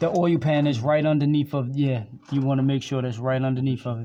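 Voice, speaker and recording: The speaker talks at a fairly quick pace with a slight Baltimore accent. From US, Baltimore, Maryland. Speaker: YouTuber teaching a friend car repair. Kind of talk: tutorial. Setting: auto shop. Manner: casual, hesitant with fillers.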